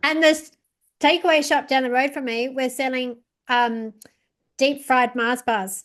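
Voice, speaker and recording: Over a quiet background, a woman with a high pitch and ordinary pitch variation speaks at a fairly slow pace, leaving long, frequent pauses. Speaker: podcast host. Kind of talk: podcast interview conversation.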